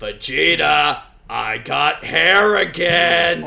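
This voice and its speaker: Putting on a character voice, a man speaks at a very slow pace. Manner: put-on character voice.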